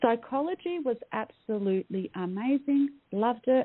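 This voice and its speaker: A woman talks in an Australian accent. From Australia, Melbourne. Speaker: mindset coach. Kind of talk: interview. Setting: radio show. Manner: hesitant with many fillers.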